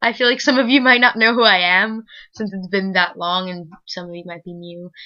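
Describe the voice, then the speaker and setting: A woman at a fairly quick pace, with ordinary pitch variation and big swings in loudness. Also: medium pitch for a woman. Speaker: book vlogger. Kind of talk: casual vlog chat. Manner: usually talks very fast.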